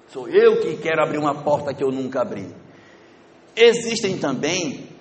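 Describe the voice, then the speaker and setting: In a northern Brazilian accent, a man speaks at a fairly slow pace. The recording has audible room echo and noticeable background noise. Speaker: spiritist lecturer. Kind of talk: lecture.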